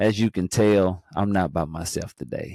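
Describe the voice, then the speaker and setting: A very deep, low male voice, dark and mellow in tone, with a slight North Carolina accent at a fairly slow pace. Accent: slight North Carolina twang. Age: 40s. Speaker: podcast host. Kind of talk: show intro; casual chat.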